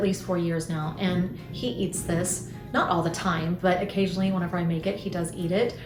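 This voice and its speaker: Music plays behind a woman who speaks fairly quickly at medium pitch with an American accent, and the room echo is audible. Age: 50s. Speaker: lifestyle vlogger. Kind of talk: casual chat.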